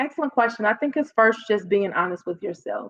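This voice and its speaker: With a Chicago South Side accent, a woman speaks in an animated tone at a fairly high pitch and a moderate pace, the sound dry and close with no echo. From South Side of Chicago, US. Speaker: public speaking coach. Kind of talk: podcast interview. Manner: stutters a little when excited.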